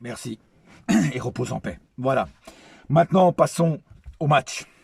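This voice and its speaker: A somewhat breathy man speaks at a fairly slow pace, his fairly high pitch showing ordinary variation. His loudness swings widely, and the sound is dry and close with no echo. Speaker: football fan youtuber. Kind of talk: match debrief vlog. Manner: animated.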